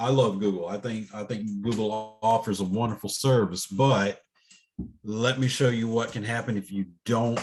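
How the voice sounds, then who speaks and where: Over music in the background, a man talks at a moderate pace and medium pitch with fairly even intonation. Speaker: college instructor. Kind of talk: online class lecture. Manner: casual, hesitant with fillers.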